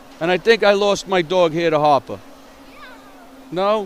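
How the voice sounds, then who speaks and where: A man's high voice at a moderate pace, with ordinary pitch variation over noticeable background noise. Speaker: amateur hockey commentator. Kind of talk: live commentary. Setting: ice rink. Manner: loud.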